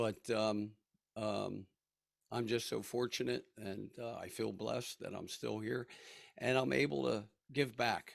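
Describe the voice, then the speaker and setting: Pausing long and often, a man talks at a fairly slow pace and fairly low pitch, his lively intonation touched with vocal fry. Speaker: head and neck cancer survivor. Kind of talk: testimony. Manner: halting.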